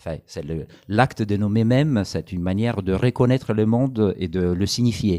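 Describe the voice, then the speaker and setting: On a very clean recording with a silent background and a dry, close sound with no echo, a man with a dark, mellow tone and fairly low pitch speaks at a moderate pace. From Italy. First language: Italian (speaking French). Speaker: anthropologist author. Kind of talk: public talk interview. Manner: halting, many hesitations.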